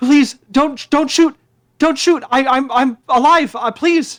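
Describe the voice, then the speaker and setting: A put-on character voice with a high pitch at a fairly slow pace. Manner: pleading, frightened.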